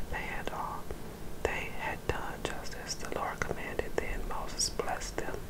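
Whispering in a soothing tone, the speaker goes at a fairly slow pace. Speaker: ASMR Bible reader. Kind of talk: ASMR whisper scripture reading. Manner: whispered, soothing.

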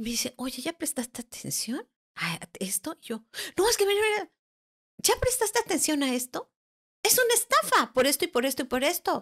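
With very wide pitch swings, a woman delivers her words at a fairly quick pace. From Mexico, Guerrero and Mexico City. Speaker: angel therapist and spiritual teacher. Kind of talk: personal testimony in interview.

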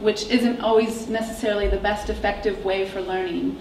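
A woman with an American accent speaks at a moderate pace and a fairly high pitch, her intonation monotone and flat. There is audible room echo and light background noise. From US Midwest. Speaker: startup founder; presenter. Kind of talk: startup pitch and Q&A. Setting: stage with audience. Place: classroom.

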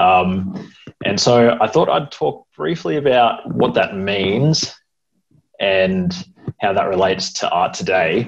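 Over noticeable background noise, a man with an Australian accent speaks very slowly at a fairly low pitch, with lively intonation. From Sydney and NSW south coast. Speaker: computer science student. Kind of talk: presentation. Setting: video call. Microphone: earbuds.

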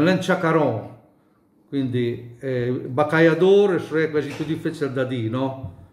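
At a moderate pace, a man with a Bolognese accent speaks at a fairly high pitch amid audible room echo. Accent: mountain Bolognese dialect. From Bolognese Apennines, Gaggio Montano area; Bolognese Apennines, Italy. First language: Bolognese dialect (speaking Italian). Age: 70s. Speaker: dialect speaker interviewee; speaker. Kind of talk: interview. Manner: halting. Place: home room. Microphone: phone near.

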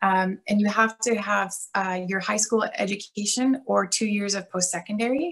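A woman with a Canadian accent speaks at a moderate pace with hardly any pauses. Her pitch varies in an ordinary way against a quiet background. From Canada, Alberta. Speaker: police officer. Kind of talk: workshop presentation. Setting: video call. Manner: casual. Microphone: video call.

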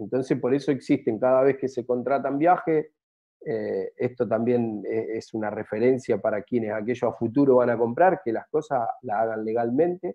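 The background is quiet. A man talks at a moderate pace with ordinary pitch variation. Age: 40s. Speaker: travel business owner; interview guest. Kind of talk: interview. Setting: at home, remote. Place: home room. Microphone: video call.

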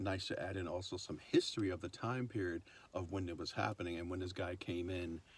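With a very deep, low pitch, a man talks fairly quickly and somewhat breathily in a dry sound with no echo. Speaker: vlogger. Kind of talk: casual vlog chat. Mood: relaxed, laughing. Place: car. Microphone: phone near.

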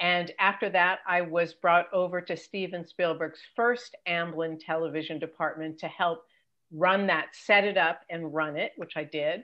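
Against a quiet background, a woman with an unremarkable speaking voice and a General American accent talks at a fairly low pitch and fairly slow pace, her intonation fairly even. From Los Angeles. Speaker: entertainment career coach and TV executive; entertainment career coach. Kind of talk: interview. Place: home room. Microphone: video call.

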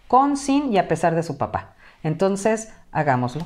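Only a quiet background surrounds the woman speaking. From Mexico (Acapulco, Guerrero); Guerrero, Mexico. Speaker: teacher and academic tutoring director; teacher, academic tutoring director. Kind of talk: interview. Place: home room. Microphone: headset.

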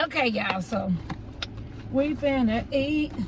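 A woman's high pitch at a very slow pace, in dry sound with no echo, over noticeable background noise. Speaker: food vlogger. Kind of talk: casual mukbang vlog chat. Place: car. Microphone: phone near.

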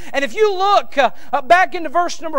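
A man speaks in a raised, projected voice. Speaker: preacher. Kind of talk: sermon; sermon and prayer. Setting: church. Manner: fervent, impassioned, exhorting. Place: church. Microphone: podium.

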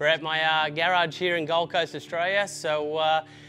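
Faint music plays in the background as a man speaks in a flat monotone. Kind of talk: casual tour commentary. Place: garage.

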